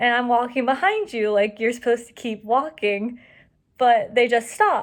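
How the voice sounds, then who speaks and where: A woman mumbles at a moderate pace, her fairly high pitch showing ordinary variation. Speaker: student. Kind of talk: monologue. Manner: mumbling; casual.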